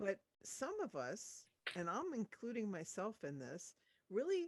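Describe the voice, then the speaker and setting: Fairly slow American-accented speech from a woman with vocal fry, medium pitch and very wide pitch swings, the sound dry and close with no echo. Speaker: audiobook narrator. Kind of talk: interview answer.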